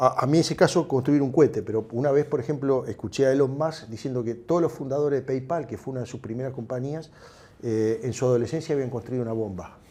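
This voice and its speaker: This man speaks very fast with a Uruguayan accent. His medium-pitched voice has a dark, mellow tone and ordinary pitch variation. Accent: Uruguayan Rioplatense Spanish. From Uruguay, Montevideo. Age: 60s. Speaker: tech entrepreneur. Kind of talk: interview. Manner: halting.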